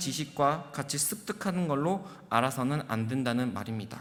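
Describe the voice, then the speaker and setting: Fairly high-pitched male voice with ordinary pitch variation and audible room echo. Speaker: junior pastor. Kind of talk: sermon. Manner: fast.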